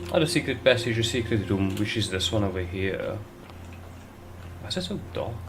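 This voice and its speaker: Amid audible room echo, a man with a somewhat breathy, fairly low voice talks at a fairly quick pace with lively intonation and long, frequent pauses. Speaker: gaming video creator. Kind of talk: gameplay commentary. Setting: home room with gaming PCs.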